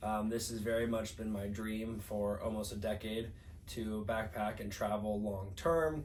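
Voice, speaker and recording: With audible room echo around him, a man in an American accent talks at a moderate pace in a somewhat breathy, medium-pitched voice. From US Midwest, St. Louis, Missouri. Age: 30s. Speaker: podcast co-host. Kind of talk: casual chat. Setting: indoor podcast recording while traveling.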